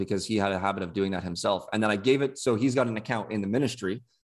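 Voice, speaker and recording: On a very clean recording with a silent background, a man with an unremarkable speaking voice talks at a fairly low pitch with fairly even intonation. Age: 20s. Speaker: former podcast co-host, youth ministry house parent. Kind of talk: casual chat.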